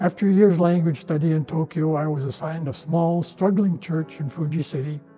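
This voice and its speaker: A man with an American accent at a fairly quick pace, fairly high in pitch with fairly even intonation, music playing in the background. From northern Minnesota, USA. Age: 80s+. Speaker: retired Lutheran pastor; war veteran. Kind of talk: personal testimony to camera.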